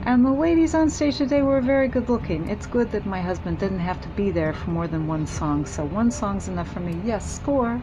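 Audible room echo and noticeable background noise surround the recording. A woman talks at a fairly quick pace with hardly any pauses. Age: 40s. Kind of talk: casual monologue.

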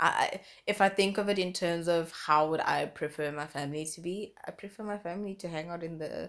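A woman speaks in an animated tone at a moderate pace, with a fairly low pitch and ordinary pitch variation. The recording is very clean, with a silent background. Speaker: podcast co-host. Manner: animated, excitable.

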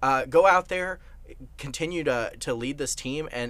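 Speaking with an American accent, a man with an unremarkable speaking voice talks at a fairly quick pace with fairly even intonation. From Texas. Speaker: college radio sports panelist. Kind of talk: casual sports talk.

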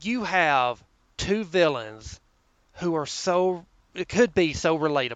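A man's high voice in a Southern US accent, very slow, with lively intonation and long, frequent pauses. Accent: Southern US drawl. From US South. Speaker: government office worker. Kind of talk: casual chat.

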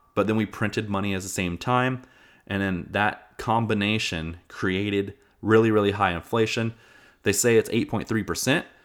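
An unremarkable speaking voice: a man with an American accent, fairly low pitch and moderate pace, on a very clean recording with a silent background. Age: 30s. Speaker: podcast host. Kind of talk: casual monologue.

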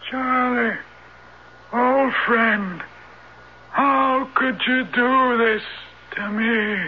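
A put-on character voice, pitched fairly high, moves along at a very slow pace. Clear background noise sits behind it. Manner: ventriloquist voice, eerie.

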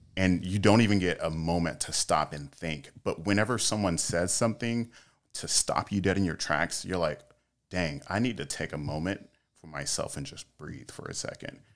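A man's very deep, low voice at a moderate pace, with ordinary pitch variation and big swings in loudness, on a very clean recording with a silent background. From North Carolina, US South. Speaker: powerlifter and fitness influencer. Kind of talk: casual interview chat.

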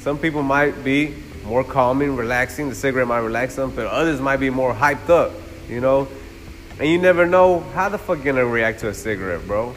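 There is noticeable background noise as a man with a fairly high voice speaks very fast with lively intonation. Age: 20s. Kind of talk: casual chat.

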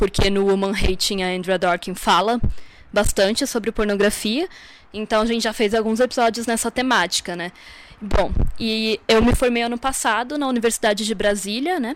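The pace here is moderate. It is a normal speaking voice. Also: woman, fairly high pitch for a woman, ordinary pitch variation. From Santa Catarina, southern Brazil. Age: 20s. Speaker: feminist podcaster. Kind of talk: recorded presentation of research.

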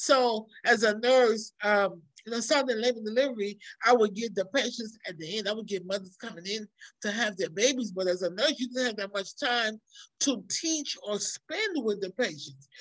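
A woman's plain, everyday voice, fairly high in pitch, with ordinary pitch variation at a moderate pace. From New York, born in Trinidad. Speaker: nurse and nonprofit educator, author. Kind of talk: casual interview.

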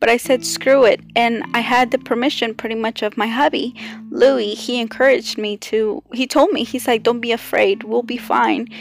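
Against noticeable background noise, a woman with a fairly high pitch speaks with hardly any pauses. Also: fairly even intonation, moderate pace. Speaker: podcast host and artist. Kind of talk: casual solo monologue. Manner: loud.

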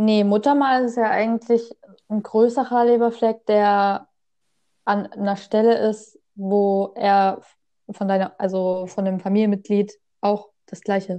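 In a monotone, flat intonation, a woman with a medium pitch speaks at a very slow pace. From Saxony, Germany. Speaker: podcast co-host. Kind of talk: casual chat. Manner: halting.

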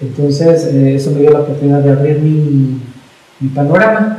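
Fairly quickly and at a fairly high pitch, a man talks. Room echo is audible, and background noise is noticeable. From Mexico City. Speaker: pedagogue and business consultant. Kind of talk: interview. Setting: office.

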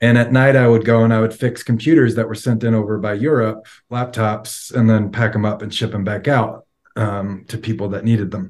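In a quiet background, a medium-pitched man with an American accent speaks at a fairly quick pace with monotone, flat intonation. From New York, Long Island. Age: 40s. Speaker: recovering addict, IT worker. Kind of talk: testimony. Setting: video call.

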